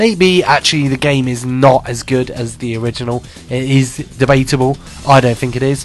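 The speech moves at a moderate pace with fairly even intonation. Music plays in the background. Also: man, medium pitch for a man. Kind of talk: radio dj patter, casual live internet radio host chat between music blocks. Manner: rambling and halting, full of ums, uhs and self-corrections, chatty and cheerful; congested and stuffy, laughing off fumbles and tech glitches.

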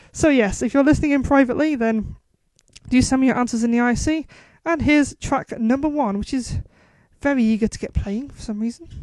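A woman with a high voice and a Geordie accent talks at a fairly quick pace. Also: ordinary pitch variation. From northern England, Newcastle area. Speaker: radio show host. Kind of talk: casual radio presenting.

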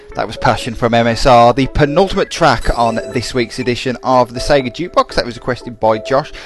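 Music plays in the background as the voice moves at a fairly quick pace with hardly any pauses and ordinary pitch variation. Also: man, medium pitch for a man. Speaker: internet radio DJ. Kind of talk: radio DJ patter introducing requests and tracks. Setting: radio studio broadcast stream. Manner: chatty, casual, upbeat, improvised with um's and tangents.

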